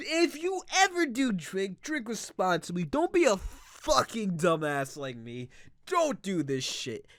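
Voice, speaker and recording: On a very clean recording with a silent background, a man speaks at a fairly slow pace. His pitch is high for a man and swings very widely. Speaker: gaming YouTuber. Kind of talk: let's play commentary. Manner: giggly; rising question-like intonation.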